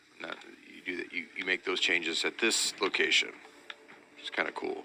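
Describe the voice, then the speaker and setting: Fairly quick speech from a man, loudness swinging widely. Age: 60s. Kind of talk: gameplay commentary. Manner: casual, halting with repeated words.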